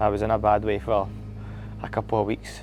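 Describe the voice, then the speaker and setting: A man talks with a Scottish accent. Noticeable background noise is present. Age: 30s. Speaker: HYROX athlete. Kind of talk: candid reflective monologue.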